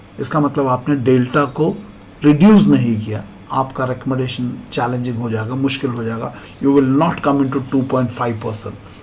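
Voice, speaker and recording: A man speaks at a moderate pace with a medium pitch and ordinary pitch variation. Noticeable background noise and audible room echo fill the recording. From India, Kerala. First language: Malayalam (speaking Hindi). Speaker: SSB interview coach, retired army officer. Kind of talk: motivational lecture.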